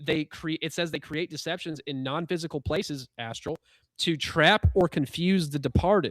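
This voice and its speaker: On a very clean recording with a silent background and a dry, close sound with no echo, a man talks at a fairly high pitch with ordinary pitch variation. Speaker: spiritual podcast host. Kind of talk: casual discussion on live stream. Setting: live broadcast. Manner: fast.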